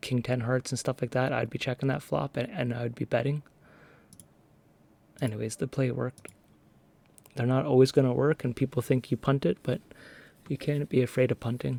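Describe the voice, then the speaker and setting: A man's dark, mellow voice at a fairly quick pace with long, frequent pauses, in a dry, close sound with no echo. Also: medium pitch for a man, fairly even intonation. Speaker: online poker player. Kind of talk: casual commentary over gameplay.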